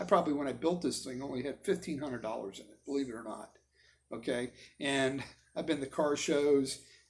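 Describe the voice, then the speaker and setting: A man with a fairly high pitch talks at a fairly quick pace, his pitch varying in an ordinary way while his loudness swings widely. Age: 60s. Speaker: vlogger and car builder. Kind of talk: casual vlog monologue. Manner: rambling, halting.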